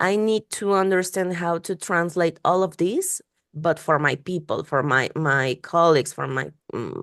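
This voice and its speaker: Recorded with a dry, close sound and no echo against a quiet background, the speaker talks at a fairly slow pace with ordinary pitch variation. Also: woman. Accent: non-native. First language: Spanish. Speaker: UX researcher and podcast host. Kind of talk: interview conversation. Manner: halting, many repetitions and fillers.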